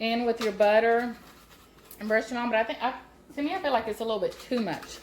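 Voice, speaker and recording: Noticeable background noise sits behind a woman with a Southern US accent who talks at a fairly quick pace with ordinary pitch variation. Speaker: home cooking channel host. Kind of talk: cooking tutorial. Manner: loud; casual, chatty.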